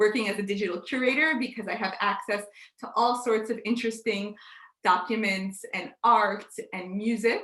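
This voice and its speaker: In an American accent, a woman with a normal speaking voice and medium pitch talks at a fairly quick pace. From United States. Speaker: digital curator and session host. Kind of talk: conference presentation.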